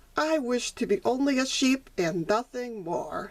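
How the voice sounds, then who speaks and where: Using a put-on character voice, a woman speaks at a moderate pace. Her pitch is high. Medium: read story.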